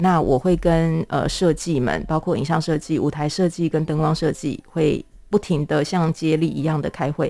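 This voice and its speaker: In a very clean recording with a silent background, a woman talks at a moderate pace. Her voice is very deep and low, with a dark, mellow tone. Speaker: theatre playwright and director. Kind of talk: casual interview.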